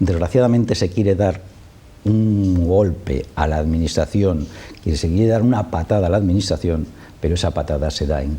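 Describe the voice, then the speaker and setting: A man speaks with a very deep, low pitch. His tone is dark and mellow, and his voice is somewhat breathy. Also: ordinary pitch variation, moderate pace. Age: 60s. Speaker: spokesman for affected homeowners' association. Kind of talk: TV interview. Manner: impassioned.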